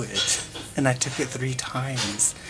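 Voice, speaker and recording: A man whispers with music in the background. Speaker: music theory channel host. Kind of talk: casual vlog monologue. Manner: whispering; halting, many fillers.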